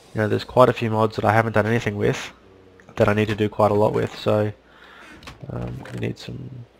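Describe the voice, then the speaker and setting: A man speaks very fast but leaves long, frequent pauses. Background noise is noticeable. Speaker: gaming video creator. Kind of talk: game commentary.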